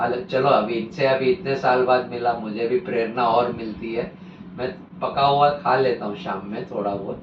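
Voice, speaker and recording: Amid noticeable background noise and audible room echo, a man speaks with lively intonation. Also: medium pitch for a man. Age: 60s. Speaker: real estate consultant, vegan advocate. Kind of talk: interview testimony.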